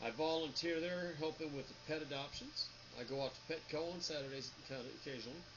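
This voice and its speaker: With noticeable background noise behind him, a man speaks at a fairly high pitch and a moderate pace. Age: 50s. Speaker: 3D printing business owner. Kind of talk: casual vlog talk. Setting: home office. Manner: stutters at times.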